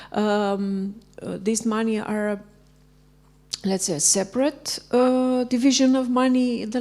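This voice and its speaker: Over noticeable background noise, a woman with a Romanian accent talks at a fairly slow pace. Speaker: librarian asking a question. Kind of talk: audience question.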